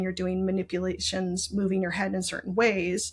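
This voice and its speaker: A woman speaks in a monotone, flat intonation. Her voice is somewhat breathy. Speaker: brain injury survivor and patient advocate. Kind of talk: interview, personal health story.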